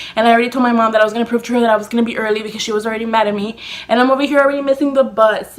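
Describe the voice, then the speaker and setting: A woman's fairly high, animated voice at a very fast pace, with noticeable background noise. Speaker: beauty YouTuber. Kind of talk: storytime vlog.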